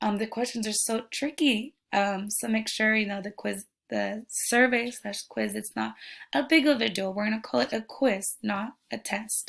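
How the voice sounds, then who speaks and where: With vocal fry, a woman talks at a moderate pace and a fairly high pitch, her pitch variation ordinary, in a very clean recording with a silent background. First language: Spanish. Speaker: education student. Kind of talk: class presentation. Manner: halting.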